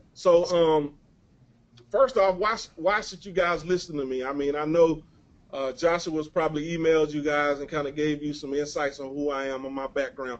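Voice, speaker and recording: A man with a Mississippi accent speaks in a fairly high voice at a moderate pace. His pitch varies in an ordinary way, while his loudness swings widely. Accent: Southern US (Mississippi). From US South, Mississippi. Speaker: webinar presenter, online marketer. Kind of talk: webinar presentation. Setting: webinar call. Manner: mumbling.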